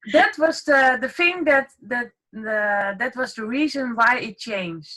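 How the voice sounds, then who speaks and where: A woman with a non-native accent, high-pitched with a bright, sharp tone, very wide pitch swings and a fairly slow pace. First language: not English. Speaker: online marketing group member. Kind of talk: casual group chat. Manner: halting, many fillers.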